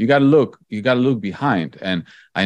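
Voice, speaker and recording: Someone speaks at a moderate pace with a Polish accent, over a quiet background. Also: man. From Poland. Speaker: investor and author. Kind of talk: interview.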